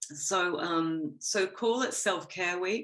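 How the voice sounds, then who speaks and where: The speaker is a woman with an Australian accent. Her fairly low pitch moves with ordinary variation. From Australia, Gold Coast. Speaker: interview guest. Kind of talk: podcast interview.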